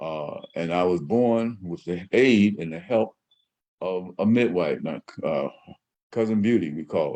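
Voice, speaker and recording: Speaking at a fairly slow pace in a Southern US accent, a man has a fairly low pitch, ordinary pitch variation and a dark, mellow tone. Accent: Southern US (Georgia). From US South, southwest Georgia. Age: 70s. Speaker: radio host. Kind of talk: personal storytelling monologue. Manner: halting, many fillers.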